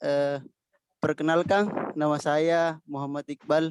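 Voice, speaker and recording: A man with a Makassar accent speaks at a very slow pace and a fairly high pitch. The sound is dry and close, with no echo. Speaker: participant. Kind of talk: self-introduction.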